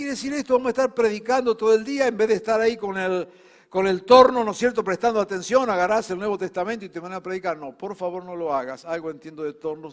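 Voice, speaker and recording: A man speaks with a Rioplatense accent. His pitch swings very widely at a fairly quick pace. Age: 70s. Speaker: pastor. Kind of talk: sermon.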